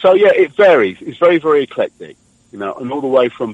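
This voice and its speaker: His pitch swings very widely. The man's pace is fairly quick. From London. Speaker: singer-songwriter. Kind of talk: radio interview answer. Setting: phone line.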